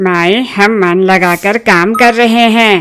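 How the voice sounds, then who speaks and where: A woman performs a cartoonish character voice at a medium pitch. Her pace is moderate and her intonation fairly even. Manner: naive, earnest, proud.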